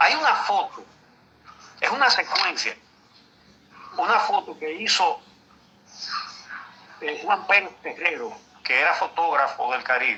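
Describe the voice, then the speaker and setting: A man talks rather slowly, pausing often and at length, while clear background noise carries on behind him. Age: 70s. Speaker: veteran journalist. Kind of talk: interview. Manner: halting.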